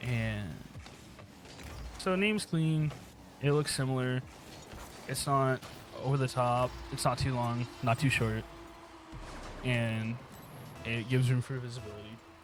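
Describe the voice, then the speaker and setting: A man with an American accent speaks at a fairly slow pace, with long, frequent pauses. His medium pitch varies in an ordinary way, and music plays in the background. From United States. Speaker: aspiring streamer and youtuber. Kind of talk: casual monologue over gameplay. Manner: rambling, hesitant with fillers.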